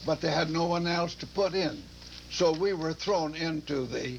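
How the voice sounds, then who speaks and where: The speech is fairly slow, with noticeable background noise. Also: man. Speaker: war veteran. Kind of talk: interview. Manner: halting.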